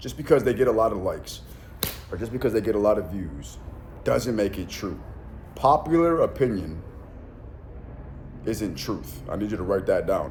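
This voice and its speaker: A man with vocal fry and a fairly low pitch speaks in an animated tone at a moderate pace. His pitch swings very widely, and audible room echo is present. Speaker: self-help influencer and mentor. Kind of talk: motivational monologue. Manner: many fillers and restarts.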